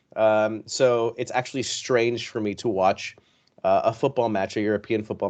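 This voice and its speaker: A man with an American accent speaks at a fairly quick pace, his pitch fairly low and intonation fairly even. It is an unremarkable speaking voice over a quiet background. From Philippines and US. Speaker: football podcaster, club fan. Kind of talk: podcast interview.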